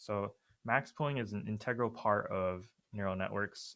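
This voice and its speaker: An unremarkable speaking voice, a man's at fairly low pitch, moves at a fairly quick pace on a very clean recording with a silent background. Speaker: student workshop leader. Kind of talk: lecture.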